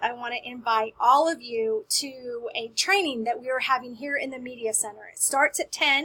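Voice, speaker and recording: A woman's raised, projected voice with an American accent, high-pitched with a bright, sharp tone, lively intonation, big swings in loudness and hardly any pauses. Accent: Southern drawl, comes out occasionally. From US South. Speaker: school media specialist. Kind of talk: staff announcement. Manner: friendly, upbeat.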